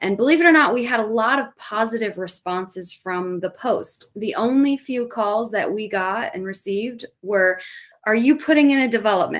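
A woman's a plain, everyday voice, fairly high-pitched, lively in intonation and at a moderate pace. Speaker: natural resource specialist. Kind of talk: casual interview. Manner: filler-heavy.

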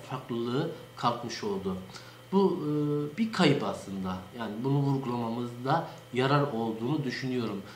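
Amid light background noise and audible room echo, a man speaks at a fairly slow pace with ordinary pitch variation. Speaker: local dialect enthusiast. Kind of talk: informal educational talk. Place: office. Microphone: webcam.

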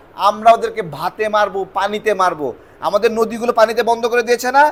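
A man with a high pitch speaks in an animated tone against noticeable background noise. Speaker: YouTube political commentator. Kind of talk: political commentary monologue.

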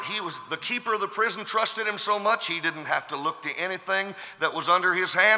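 A man speaks in a raised, projected voice at a high pitch. His intonation is lively. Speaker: preacher. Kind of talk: sermon. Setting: live audience, lecture hall. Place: hall. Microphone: podium.

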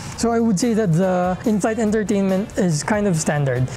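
Faint music plays in the background as a man with a high voice speaks at a fairly quick pace. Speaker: travel vlogger. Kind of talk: casual review talk to camera. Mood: friendly, upbeat. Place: home room. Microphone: lapel.

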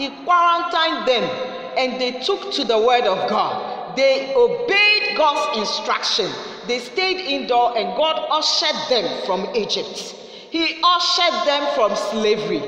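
In a room with audible echo, a woman uses a raised, projected voice at a fairly slow pace. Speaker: preacher. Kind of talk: sermon. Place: studio.

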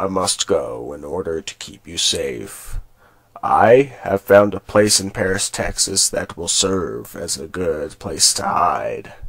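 The delivery moves at a fairly slow pace, with big swings in loudness. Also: man, fairly low pitch for a man. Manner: solemn, speechlike.

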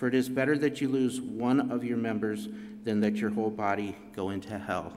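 Fairly quick speech with music in the background. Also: man. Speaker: youth leader. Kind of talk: church devotional talk. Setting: church. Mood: earnest, calm. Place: church. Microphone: podium.

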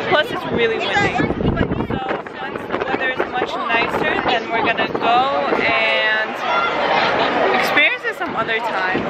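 A woman speaking at a fairly slow pace, in a dry sound with no echo, over loud background noise. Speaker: vlogger. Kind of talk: casual vlog chat. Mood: cheerful, laughing. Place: street. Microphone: phone near.

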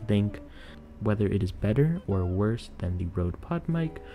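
Clear music sounds in the background as the speech moves at a moderate pace. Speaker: product reviewer. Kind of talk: product review voice-over. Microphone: studio mic.

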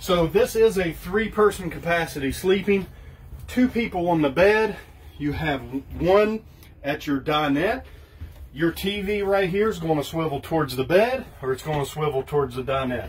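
With lively intonation, a man keeps to a moderate pace. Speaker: trailer salesman. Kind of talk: product walkthrough tour. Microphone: phone near.

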